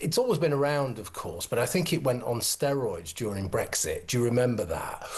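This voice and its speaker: A man at a fairly quick pace with hardly any pauses, over noticeable background noise. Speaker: former university drama lecturer, commentator. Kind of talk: studio discussion guest.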